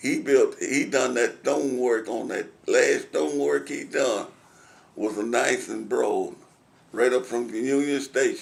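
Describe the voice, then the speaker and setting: In a Southern US accent, a man talks fairly slowly. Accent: Southern American. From Tennessee. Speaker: war veteran. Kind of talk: oral history interview answer.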